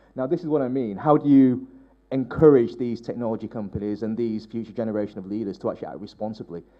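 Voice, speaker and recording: A man talks at a very fast pace in a medium pitch, with ordinary pitch variation. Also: big swings in loudness. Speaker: technology policy adviser, conference panelist. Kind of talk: panel discussion remarks. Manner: halting, many repetitions.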